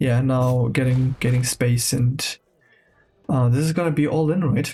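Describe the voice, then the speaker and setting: Quiet, fairly slow speech from a man at medium pitch, fairly even intonation, music in the background. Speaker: game caster. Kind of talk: live commentary. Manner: lowered voice, quieter.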